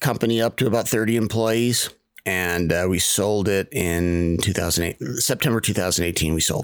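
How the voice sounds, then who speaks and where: In an ordinary speaking voice, a man talks at a moderate pace with fairly low pitch and ordinary pitch variation. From Maine, US. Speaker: contracting business coach and podcaster. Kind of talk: casual interview chat.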